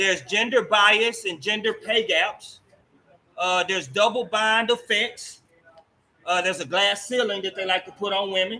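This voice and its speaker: A man's raised, projected voice, high-pitched, bright and sharp, with ordinary pitch variation at a moderate pace. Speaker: talk show host. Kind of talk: interview. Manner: loud.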